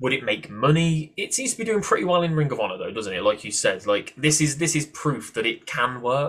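Very wide pitch swings mark this fairly quick speech in a British accent, with hardly any pauses. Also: man, fairly high pitch for a man. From UK. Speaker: podcast host. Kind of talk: interview.

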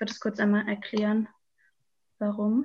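A fairly high-pitched, somewhat breathy woman talking at a fairly quick pace. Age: 20s. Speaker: climate activist. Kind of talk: interview. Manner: hesitant, many filler sounds.

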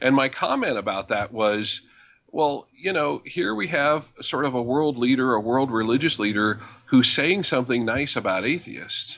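With an American accent, a man has an unremarkable speaking voice, medium in pitch, at a moderate pace against a quiet background. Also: ordinary pitch variation. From rural Colorado. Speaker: atheist blogger. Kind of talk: interview.

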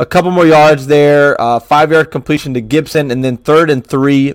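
A fairly high-pitched man, animated and excited, at a fairly quick pace. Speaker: podcast host. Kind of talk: sports recap, play-by-play breakdown of a game. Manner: animated, conversational, excited.

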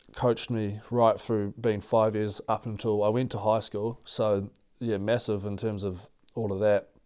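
Against a quiet background, a man with a New Zealand accent speaks at a moderate pace in a fairly low voice with a dark, mellow tone. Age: 20s. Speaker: professional rugby player. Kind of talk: casual interview.

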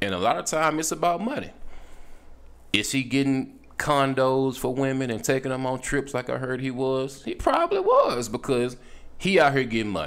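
A man talks in an animated tone at a moderate pace, with ordinary pitch variation. Noticeable background noise can be heard. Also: medium pitch for a man. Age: 30s. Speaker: podcast host. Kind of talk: casual monologue.

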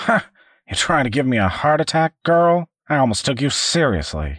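A put-on character voice with lively intonation comes through dry and close, with no echo. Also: man, fairly high pitch for a man, moderate pace. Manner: gruff, blustering, threatening.

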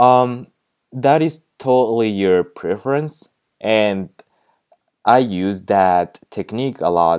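Lively in intonation yet very slow, the speech comes in a Japanese accent with long, frequent pauses. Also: man, medium pitch for a man. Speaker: podcast host, language tutor. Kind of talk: casual monologue with tips. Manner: halting, many fillers.

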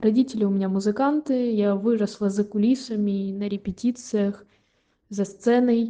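Moving at a moderate pace, a woman speaks in a fairly high voice with a dark, mellow tone and fairly even intonation. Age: 20s. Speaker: conservatory violin student. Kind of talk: read-out personal story.

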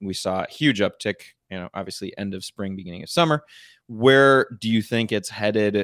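A man speaks in an ordinary speaking voice, fairly low, with ordinary pitch variation and big swings in loudness. The recording is very clean with a silent background and a dry, close sound with no echo. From northern Michigan. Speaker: podcast co-host discussing investing. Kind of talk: casual chat.

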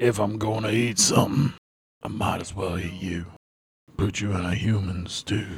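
Using a put-on character voice, a man talks at a moderate pace in a fairly low pitch, with long, frequent pauses. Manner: menacing, gleeful.

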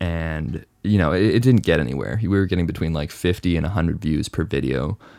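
A man's very deep, low voice with vocal fry, moderate pace and ordinary pitch variation, in a very clean recording with a silent background. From Hong Kong. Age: 20s. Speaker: photographer and YouTuber. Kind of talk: casual chat.

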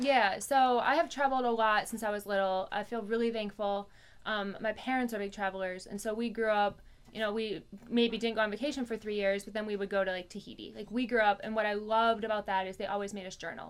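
Fairly high in pitch, a woman speaks at a very fast pace with fairly even intonation. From US, moved around (Virginia, Minnesota). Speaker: business owner and CrossFit coach. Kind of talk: casual interview.

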